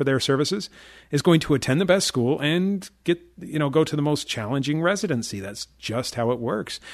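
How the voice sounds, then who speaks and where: A man talks at a moderate pace with a fairly high pitch, in a normal speaking voice. The background is quiet. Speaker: trading educator and radio show host. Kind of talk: radio show talk with a sales pitch. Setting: radio studio.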